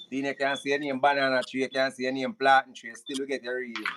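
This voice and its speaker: Dry and close with no echo, a man talks fairly quickly with a Jamaican accent. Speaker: live show host. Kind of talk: live stream call-in. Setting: live stream.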